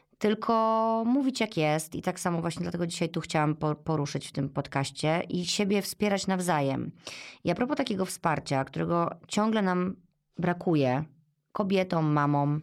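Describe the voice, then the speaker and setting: Over background music, a woman with a fairly low pitch speaks at a moderate pace, her intonation lively and her loudness very even. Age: 40s. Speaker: podcast host, mother of three. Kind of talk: casual interview conversation.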